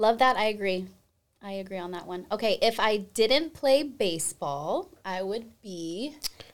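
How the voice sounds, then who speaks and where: On a very clean recording with a silent background, a woman with an American accent and a fairly high pitch sounds animated, her intonation lively. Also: fairly slow pace. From Arizona. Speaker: podcast host, former sports broadcaster. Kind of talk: casual interview chat. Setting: studio.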